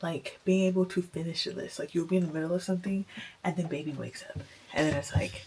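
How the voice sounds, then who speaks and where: Whispering from a woman against noticeable background noise. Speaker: mom vlogger. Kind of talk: casual vlog talk to camera. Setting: at home.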